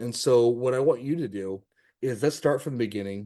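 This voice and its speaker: Against a quiet background, a man with an American accent speaks at a moderate pace in a medium pitch, his dark, mellow tone showing ordinary pitch variation. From California. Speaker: podcast host. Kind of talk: casual interview.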